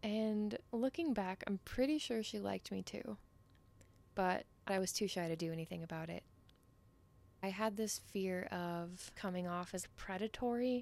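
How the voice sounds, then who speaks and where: A woman with a medium pitch and ordinary pitch variation speaks at a moderate pace, leaving long, frequent pauses. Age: 20s. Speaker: intimacy coach. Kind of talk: solo podcast monologue.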